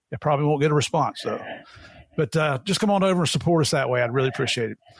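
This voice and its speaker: Here a man speaks with an American accent at a fairly high pitch. His voice is somewhat breathy. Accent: Southern, people call it funny. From Tennessee and West Virginia. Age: old. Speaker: podcast host, retired DEA agent. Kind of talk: casual interview chat. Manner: folksy, jovial.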